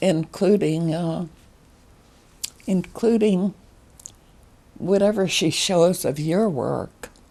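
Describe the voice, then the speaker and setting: Against noticeable background noise, a woman with a fairly low pitch talks very slowly, pausing long and often. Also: ordinary pitch variation. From Alaska. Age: 90s. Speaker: artist. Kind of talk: interview.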